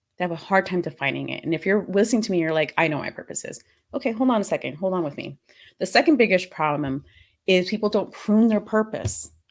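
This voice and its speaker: In a very clean recording with a silent background, a woman speaks very fast at a medium pitch, animated and lively in intonation, with vocal fry. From Panama. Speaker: purpose coach. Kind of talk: podcast talk.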